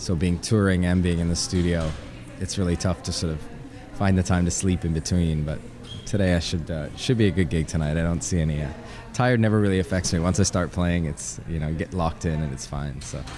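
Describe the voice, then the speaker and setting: At a fairly quick pace, a man with a very deep, low pitch and ordinary pitch variation speaks amid noticeable background noise. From Canada, Ottawa. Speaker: DJ and producer. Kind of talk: interview.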